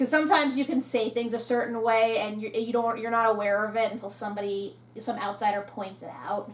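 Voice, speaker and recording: With an American accent, a woman talks fairly fast with hardly any pauses, her fairly high pitch held in fairly even intonation over noticeable background noise. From New Jersey. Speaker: reaction show host. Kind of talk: casual review chat. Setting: live reaction video.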